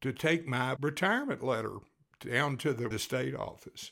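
A medium-pitched man speaks in a Texas accent with lively intonation and vocal fry. The recording is very clean, with a silent background. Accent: Texas accent, noticeable. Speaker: podcast storyteller. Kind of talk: storytelling, casual personal anecdote. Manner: casual, conversational, folksy with filler words.

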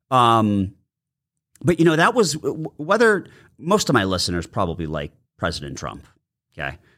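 At a moderate pace, a man with a medium-pitched voice, a bright, sharp tone and vocal fry speaks with very wide pitch swings, big swings in loudness and long, frequent pauses on a very clean recording with a silent background. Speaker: podcast host. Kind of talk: casual interview chat. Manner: friendly, conversational.

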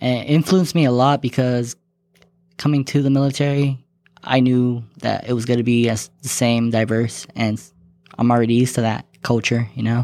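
A man with an American accent talks at a moderate pace and a medium pitch. His tone is dark and mellow, and his intonation is monotone and flat. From US West Coast, Long Beach, California. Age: 20s. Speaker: air force maintenance airman. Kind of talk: casual interview.

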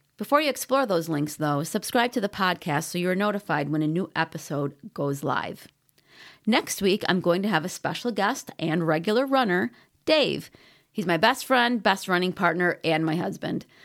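A woman with an unremarkable speaking voice talks at a fairly low pitch and a moderate pace. Her intonation is lively, on a very clean recording with a silent background. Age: 50s. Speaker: running coach and podcast host. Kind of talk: solo podcast talk.

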